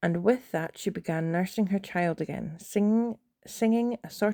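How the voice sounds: This natural reading voice has ordinary pitch variation against a quiet background.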